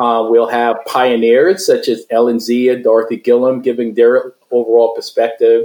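Having a normal speaking voice, this man talks at a moderate pace with a medium pitch and fairly even intonation. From Brooklyn, New York. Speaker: media association founder. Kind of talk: interview.

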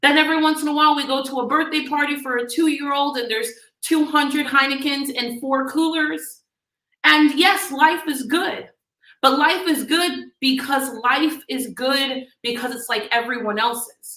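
A woman's raised, projected voice with an American accent, high in pitch and bright, sharp in tone, with ordinary pitch variation at a moderate pace. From US South, Miami, Florida. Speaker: business coach. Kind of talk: motivational talk. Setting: live stream. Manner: animated.

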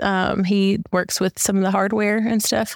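In a Southern US accent, a woman talks. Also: dry, close sound with no echo. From US South, Mississippi. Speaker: church member, youth softball coach. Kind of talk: interview.

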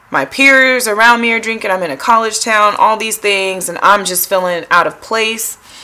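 Noticeable background noise accompanies a woman who speaks at a moderate pace with ordinary pitch variation. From US Pacific Northwest, Tacoma, Washington. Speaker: psychologist. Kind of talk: casual interview.

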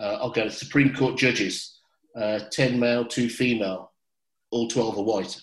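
Speaking with a Birmingham accent, a man talks at a fairly slow pace and a medium pitch. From England, Birmingham. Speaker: podcast host. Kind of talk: panel discussion.

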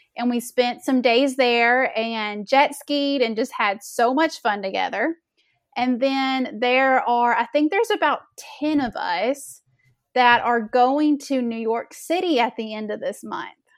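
A woman with a Southern US accent speaks at a fairly slow pace, her pitch high with ordinary variation. The recording is very clean, with a silent background. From Arkansas, US South. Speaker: melanoma awareness founder, boutique owner. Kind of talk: casual interview chat. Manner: slow talker.

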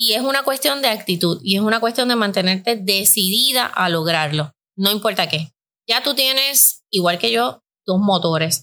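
A woman's bright, sharp, medium-pitched voice with vocal fry and very wide pitch swings, on a very clean recording with a silent background. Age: 50s. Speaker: podcast host and life coach. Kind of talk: casual chat.

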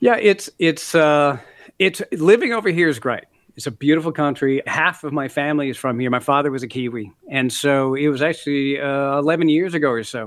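Pitched fairly high, a man speaks in an American accent with ordinary pitch variation. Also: moderate pace. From US Midwest, Minneapolis (Canadian-born). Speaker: author and former broadcaster. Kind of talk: interview.

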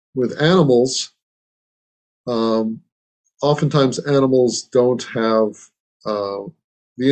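This man's voice sits at a medium pitch, and its pitch varies in an ordinary way. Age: 60s. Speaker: meditation teacher. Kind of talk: dharma talk. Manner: halting.

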